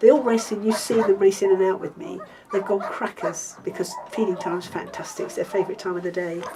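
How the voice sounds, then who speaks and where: With noticeable background noise behind it, the voice carries an English accent. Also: woman. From Africa. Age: 60s. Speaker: dog rescuer. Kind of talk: documentary interview.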